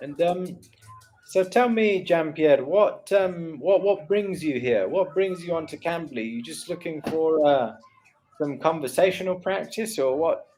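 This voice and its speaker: A man's high voice in an English accent, at a fairly slow pace with ordinary pitch variation. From England. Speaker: online English tutor. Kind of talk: tutoring session.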